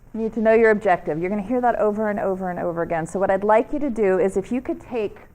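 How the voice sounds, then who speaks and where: A woman speaks in a New York accent at a medium pitch. Her pitch variation is ordinary, and the recording is very clean with a silent background. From US, New York. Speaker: media trainer. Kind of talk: workshop presentation. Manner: fast; animated.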